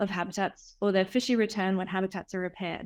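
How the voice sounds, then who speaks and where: On a very clean recording with a silent background, a woman with an Australian accent speaks very fast at a medium pitch, with fairly even intonation. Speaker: researcher and artist. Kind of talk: academic talk. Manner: hesitant with fillers.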